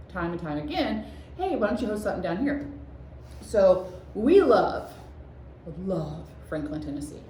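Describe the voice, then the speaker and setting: A woman speaks in a space with audible room echo. Noticeable background noise is present too. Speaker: shop owner and craft video host. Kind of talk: casual chat. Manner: halting.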